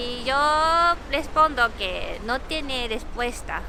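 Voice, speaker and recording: A woman speaks very slowly in a high, raised, projected voice with very wide pitch swings, against noticeable background noise. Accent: Japanese. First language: Japanese (speaking Spanish). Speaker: vlogger. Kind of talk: casual chat. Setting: outdoors.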